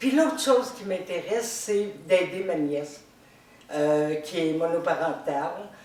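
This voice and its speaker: The speaker talks at a very slow pace with very wide pitch swings. Audible room echo and noticeable background noise surround the voice. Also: woman, medium pitch for a woman. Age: 60s. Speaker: retiree, game show applicant. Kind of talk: audition video monologue.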